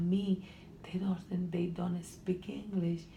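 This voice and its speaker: A woman with a Honduran accent speaks very slowly at a fairly low pitch. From Honduras. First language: Spanish. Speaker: student, immigrant. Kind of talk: counseling interview. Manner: halting.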